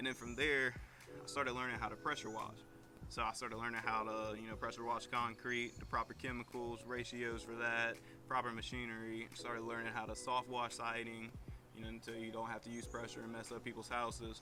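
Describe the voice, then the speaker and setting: A man's medium-pitched voice in a strong Virginian accent, fairly quick, with a bright, sharp tone and monotone, flat intonation. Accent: strong rural Virginian. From Virginia (Madison County, rural). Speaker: small business owner. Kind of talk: casual vlog introduction.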